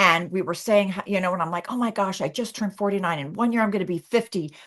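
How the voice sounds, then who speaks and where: Speaking at a very fast pace, a woman uses a medium pitch for a woman and ordinary pitch variation. She has an American accent. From Los Angeles, US West Coast. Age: 60s. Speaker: actress. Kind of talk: casual chat. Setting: live stream interview. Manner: animated.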